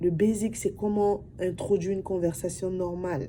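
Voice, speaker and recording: The voice belongs to a woman with a medium pitch. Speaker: vlogger. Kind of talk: casual talk to camera. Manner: soft-spoken; talkative.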